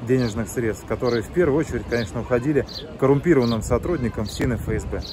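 Pitch variation is ordinary. The sound is dry with no echo, and there is noticeable background noise. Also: man. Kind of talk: investigative report introduction. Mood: serious, measured. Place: waterside. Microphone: phone near.

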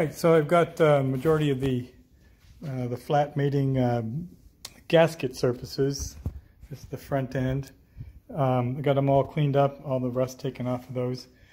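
Speaking at a moderate pace, a man leaves long, frequent pauses. His tone is dark, mellow and somewhat breathy, with fairly even intonation. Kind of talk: tutorial. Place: garage. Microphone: phone near.

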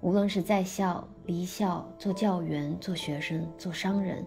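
Over music in the background, a woman speaks very slowly at a medium pitch. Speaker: actress and musician. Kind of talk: literary essay reading. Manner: unhurried.

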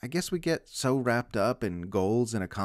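The reading is done aloud in a natural voice. Its intonation has a lively lilt.

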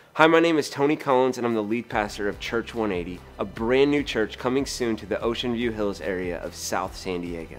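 A man talks at a fairly quick pace with hardly any pauses. Faint music plays in the background. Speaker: pastor. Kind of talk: promotional invitation to camera.

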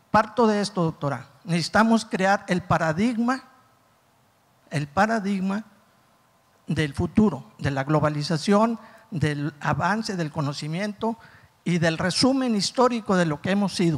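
A man with a high voice and lively intonation speaks at a fairly slow pace, with long, frequent pauses. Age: 60s. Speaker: audience member, teacher; audience member. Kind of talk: audience question. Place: hall. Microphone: handheld.

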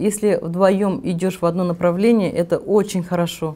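Moderate pacing and fairly even intonation from a woman with a dark, mellow tone. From Tatarstan, Russia (Nizhnekamsk); Tatarstan, Russia. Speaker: real estate agency owner; interviewee. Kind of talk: interview. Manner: halting. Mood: calm, warm. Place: home room. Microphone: lapel.

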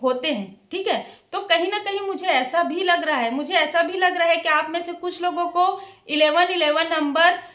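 The voice has a bright, sharp tone, a fairly slow pace and ordinary pitch variation, over a quiet background. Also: woman. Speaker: tarot card reader. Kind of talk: tarot reading monologue. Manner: varying pitch, sometimes high, sometimes soft. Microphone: phone near.

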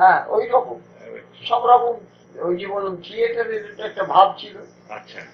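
A man with a high pitch and fairly even intonation is heard against noticeable background noise. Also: big swings in loudness. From Kolkata, India. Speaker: radio broadcaster. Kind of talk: interview answer.

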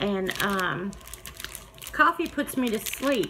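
A woman speaking at a fairly slow pace over noticeable background noise. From US South. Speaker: YouTube crafter; vlogger. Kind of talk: casual chat; casual vlog chat. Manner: animated. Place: home room. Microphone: phone near.

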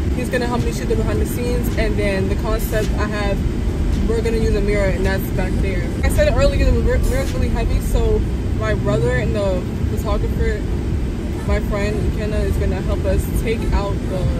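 Loud background noise surrounds a woman as she speaks. There is no echo, and the sound is dry. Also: moderate pace. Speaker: vlogger. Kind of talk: casual vlog chat. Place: car. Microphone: phone near.

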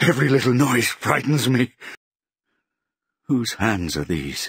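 A man puts on a character voice with a husky, rough edge and a fairly bright tone. He speaks at a slow pace with big pitch swings. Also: medium pitch for a man.

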